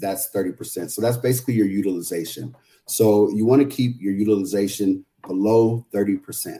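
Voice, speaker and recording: This man speaks in an American accent at a moderate pace. His voice is fairly low in pitch with a dark, mellow tone and ordinary pitch variation. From San Jose, California. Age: 40s. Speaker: financial literacy educator. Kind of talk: casual interview.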